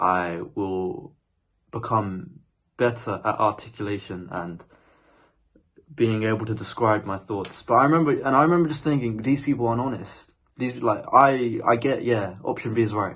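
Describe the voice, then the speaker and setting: Against a quiet background, a man speaks with a British accent. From UK. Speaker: spiritual vlogger. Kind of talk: casual monologue. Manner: halting.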